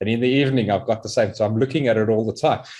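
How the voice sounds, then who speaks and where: A man speaks in a South African accent. The background is quiet. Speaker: interviewer. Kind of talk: casual chat. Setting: live stream.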